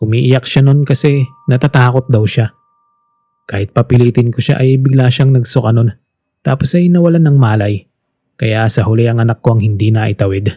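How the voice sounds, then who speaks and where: Pitched at a medium level, a man speaks fairly quickly in a dark, mellow, somewhat breathy tone with ordinary pitch variation. His loudness is very even, and the sound is dry and close with no echo. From Philippines. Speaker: voice actor. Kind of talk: horror story narration. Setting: home studio.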